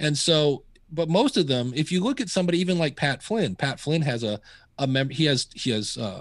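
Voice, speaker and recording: Over a quiet background, a man with an unremarkable speaking voice talks at a moderate pace, his fairly high pitch carrying lively intonation. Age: 50s. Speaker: podcasting educator. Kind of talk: interview.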